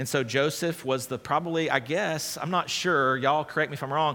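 Quick-ish in pace, a man with a plain, everyday voice talks at a fairly high pitch with ordinary pitch variation. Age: 30s. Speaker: pastor. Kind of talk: sermon. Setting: church.

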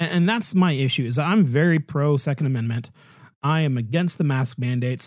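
An ordinary speaking voice from a man, fairly high-pitched with ordinary pitch variation and a fairly quick pace, on a very clean recording with a silent background. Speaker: podcast host. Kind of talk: casual chat.

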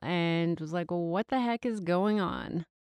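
This is a plain, everyday voice. It moves at a fairly slow pace, with a dry, close sound and no echo. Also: woman. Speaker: dance teacher. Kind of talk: casual chat.

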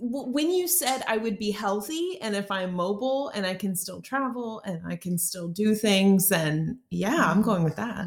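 Over noticeable background noise, this speaker talks at a fairly slow pace with an American accent and lively intonation. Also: woman. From Texas, Houston. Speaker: dietitian. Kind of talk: casual chat.

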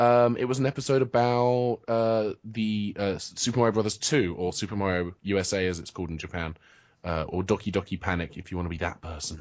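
With a British accent, a man talks at a fairly quick pace in a fairly low pitch, using ordinary pitch variation. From England. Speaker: writer and web video creator. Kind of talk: casual interview chat. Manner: hesitant, self-deprecating, jokey.

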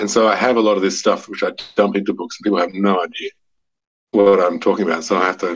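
Speaking very fast in a monotone, flat intonation, a man with an Australian accent and a fairly low voice leaves long, frequent pauses. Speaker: novelist. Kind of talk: casual interview. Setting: remote call. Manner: halting, repeats words.

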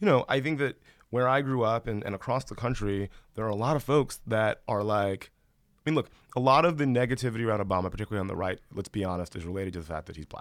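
This man talks at a very fast pace with an American accent and a medium pitch. The recording is very clean, with a silent background. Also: lively intonation. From US South, Columbus, Georgia. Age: 30s. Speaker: film industry figure. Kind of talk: casual chat.

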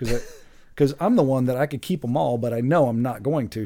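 Here a man with a Midwestern American accent talks at a fairly quick pace in a dark, mellow tone. The recording is very clean, with a silent background. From Greater Cincinnati suburbs, Ohio. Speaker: realtor. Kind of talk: casual chat. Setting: studio.

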